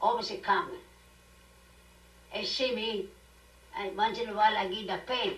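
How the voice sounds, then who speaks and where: Noticeable background noise accompanies the woman as she talks. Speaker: grandmother and immigrant. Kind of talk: family storytelling at dinner.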